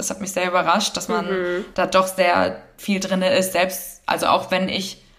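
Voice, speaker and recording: A woman's fairly low pitch with vocal fry at a moderate pace. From northern Germany. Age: 20s. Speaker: agency founder. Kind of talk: interview. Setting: remote recording.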